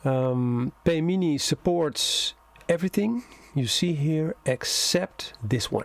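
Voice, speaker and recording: A man speaks with a Dutch accent and ordinary pitch variation. The sound is dry and close with no echo, but with noticeable background noise. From Netherlands. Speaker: software developer. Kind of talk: tutorial. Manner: hesitant, many fillers.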